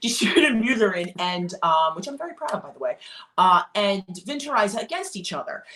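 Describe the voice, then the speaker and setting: A woman with a Philadelphia accent, fairly high-pitched and animated, at a moderate pace, with very wide pitch swings, big shifts in loudness and noticeable background noise. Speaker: classical singer discussing art song. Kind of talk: casual chat.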